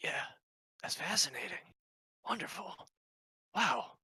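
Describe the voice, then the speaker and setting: This put-on character voice whispers in a raspy way at a moderate pace. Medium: actual play. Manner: excitable, curious.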